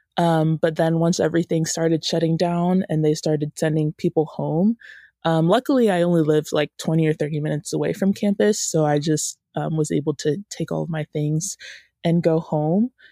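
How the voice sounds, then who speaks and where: A woman speaks at a fairly quick pace in a fairly low pitch, her tone dark and mellow and her intonation fairly even, recorded very cleanly against a silent background with a dry, close sound and no echo. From US South, Georgia (Woodstock, near Atlanta). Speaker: college student entrepreneur. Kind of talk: interview. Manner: hesitant, frequent fillers.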